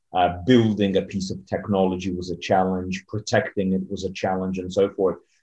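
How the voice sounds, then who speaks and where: The voice has a dark, mellow tone and a monotone, flat intonation, flowing with hardly any pauses. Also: man, very deep, low pitch for a man, moderate pace, quiet background. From Poland, then USA from age six. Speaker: entrepreneur and author. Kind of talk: interview. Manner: hesitant, many fillers.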